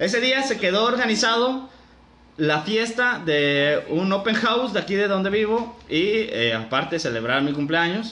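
In a raised, projected voice, a man with a high pitch and very wide pitch swings speaks at a moderate pace amid audible room echo. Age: 20s. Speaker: podcast host. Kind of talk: casual storytelling.

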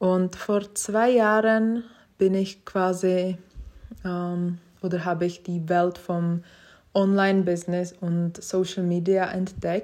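A woman speaks in a Czech accent at a medium pitch and a very slow pace. Her intonation is monotone and flat, on a very clean recording with a silent background. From Czech Republic, Prague. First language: Czech (speaking German). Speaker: podcast host. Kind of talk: casual monologue. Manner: hesitant, many fillers.

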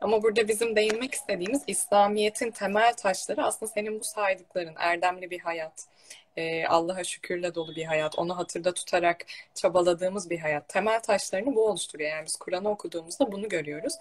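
An unremarkable speaking voice from a woman, medium in pitch, with ordinary pitch variation at a fairly quick pace. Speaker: religious talk show host. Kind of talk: casual religious conversation. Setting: online live stream. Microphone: echo.

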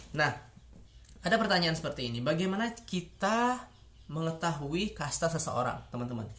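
A man's fairly high voice at a moderate pace, with very wide pitch swings and audible room echo. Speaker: YouTuber, international relations student. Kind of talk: educational video monologue. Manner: hesitant, many fillers.

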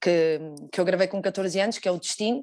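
Her voice sits at a medium pitch and varies in pitch in an ordinary way. Behind her, all is quiet. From Portugal. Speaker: fado singer. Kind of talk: interview. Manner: halting.

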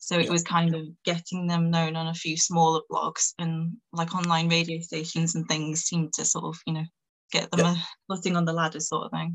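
Somewhat breathy woman's voice in a Manchester accent, fairly low-pitched, monotone and flat, at a fairly quick pace. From northern England. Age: 20s. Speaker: PR publicist and music journalist. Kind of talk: casual chat.

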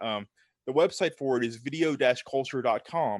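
The recording has a dry, close sound with no echo as a man talks at a fairly quick pace in a fairly high pitch. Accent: Southern US. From US South. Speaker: film writer and podcaster. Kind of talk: casual chat. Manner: halting, repeats words.

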